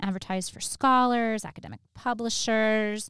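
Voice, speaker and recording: A woman speaks at a moderate pace in an unremarkable speaking voice, fairly high in pitch with ordinary variation. The recording is very clean, with a silent background. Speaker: history lecturer and podcast host. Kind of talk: casual chat.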